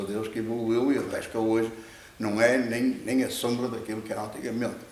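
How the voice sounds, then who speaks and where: Amid noticeable background noise and audible room echo, a man speaks at a medium pitch and fairly quick pace with monotone, flat intonation. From Portugal, Viana do Castelo. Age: 70s. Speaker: fisherman. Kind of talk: interview. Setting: net warehouse. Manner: halting, many repetitions.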